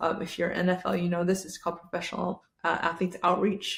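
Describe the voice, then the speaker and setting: A woman with a fairly low pitch speaks in a somewhat breathy voice. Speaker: podcast host. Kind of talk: casual chat.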